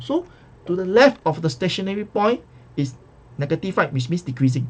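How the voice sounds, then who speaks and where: Somewhat breathy male speech with ordinary pitch variation. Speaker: math tutor. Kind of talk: recorded lecture. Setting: recorded video lesson. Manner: fast.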